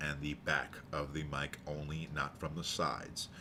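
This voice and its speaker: The man's voice sits at a very deep, low pitch. Its tone is bright and sharp. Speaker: YouTuber. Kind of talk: product review. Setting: home basement.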